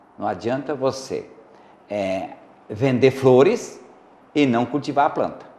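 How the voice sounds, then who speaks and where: A man talks at a very slow pace, leaving long, frequent pauses. His pitch is medium, with ordinary variation. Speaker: psychologist and commentator on the show. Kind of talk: talk show discussion. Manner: sometimes loud and excited, sometimes very quiet; halting with fillers.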